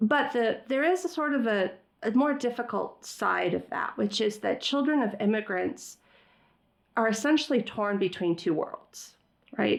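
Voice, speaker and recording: On a very clean recording with a silent background, a woman speaks at a fairly slow pace in a fairly high pitch, with vocal fry. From US, raised by Iranian immigrant parents. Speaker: former government official and philanthropist. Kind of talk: interview conversation. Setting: podcast interview.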